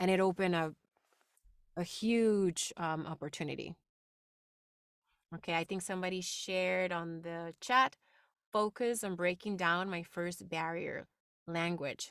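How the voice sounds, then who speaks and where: A woman's fairly low voice with a non-native accent, fairly even in intonation and fairly slow with long, frequent pauses, dry and close with no echo on a very clean recording with a silent background. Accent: noticeable non-native. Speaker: voice actress and public speaking instructor. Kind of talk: workshop talk.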